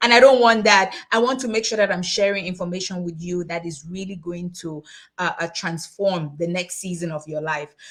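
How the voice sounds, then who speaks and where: Her loudness swings widely as a woman speaks at a moderate pace in a fairly low voice with ordinary pitch variation. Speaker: tax and finance educator, summit host. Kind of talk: online webinar presentation. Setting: livestream on social media. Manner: animated.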